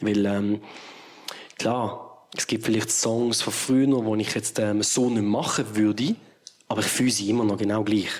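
Noticeable background noise sits behind a man speaking at a fairly slow pace. His voice is fairly low and his intonation monotone and flat. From Switzerland, Basel area. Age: 30s. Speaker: musician. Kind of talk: casual interview.

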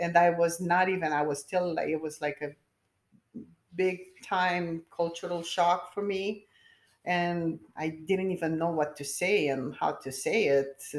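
A woman with a Romanian accent speaks with fairly even intonation. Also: fairly low pitch for a woman, fairly slow pace. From Romania, Bucharest. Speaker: nurse. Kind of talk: interview.

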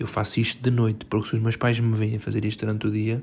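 Speaking very fast in a European Portuguese accent, a man sounds somewhat breathy, his intonation monotone and flat. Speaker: podcaster. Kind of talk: casual monologue. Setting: bedroom at home.

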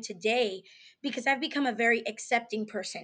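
Against a quiet background, a woman speaks in a high pitch with an animated tone. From New York. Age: 20s. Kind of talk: casual interview.

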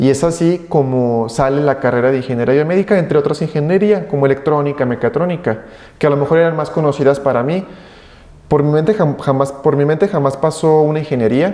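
Using a plain, everyday voice, a man talks at a fairly quick pace and fairly high pitch with ordinary pitch variation. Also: very even loudness. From Mexico, Aguascalientes. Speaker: biomedical engineer. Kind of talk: interview.

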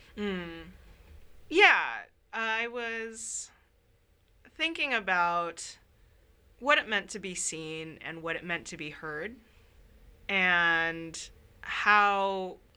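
Speaking at a very slow pace in a Californian accent, a woman with medium pitch and ordinary pitch variation has a bright, sharp tone. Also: long, frequent pauses, big swings in loudness. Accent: Californian American. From Northern California, Sacramento. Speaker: visual artist. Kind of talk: interview. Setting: library.

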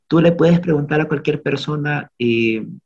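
A man's voice with a dark, mellow tone. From Honduras. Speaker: podcast guest. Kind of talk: casual conversation.

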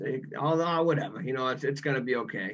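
A man speaks with a strong Boston accent. His pace is very fast. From Massachusetts, Boston area. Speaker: former college athlete, guest. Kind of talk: casual interview, personal storytelling.

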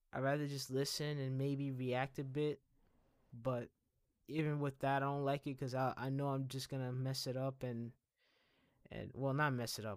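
On a very clean recording with a silent background, a man with an American accent speaks at a medium pitch and a moderate pace, in a monotone, flat intonation with long, frequent pauses. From US, Dominican family. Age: 20s. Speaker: podcaster. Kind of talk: personal monologue. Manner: halting, repeats words.

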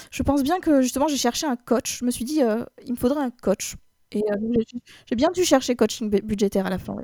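This woman has a dark, mellow tone and a high voice, with ordinary rise and fall in pitch. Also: fairly quick pace, dry, close sound with no echo. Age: 30s. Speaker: IT worker, coaching client. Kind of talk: interview testimony. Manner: hesitant, filler-heavy.

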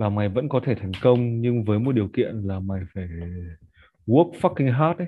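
A man's medium-pitched voice carries ordinary pitch variation as he speaks fairly slowly. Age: 20s. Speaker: marketer and musician. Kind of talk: casual chat.

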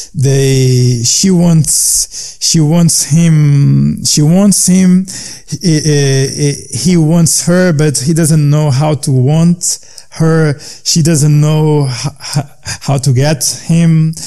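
With a Portuguese accent, a man speaks at a very slow pace, his intonation fairly even and his loudness very even. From Portugal, coastal fishing town. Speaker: jazz pianist and composer. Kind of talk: interview. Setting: remote call. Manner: halting, with many repetitions.

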